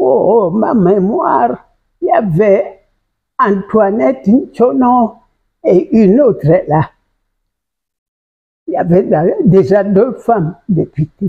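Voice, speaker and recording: At a very slow pace with long, frequent pauses, a woman speaks in a somewhat breathy voice at medium pitch, with very wide pitch swings and very even loudness. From Gabon. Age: 90s. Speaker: retired politician and former teacher. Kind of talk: interview. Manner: halting.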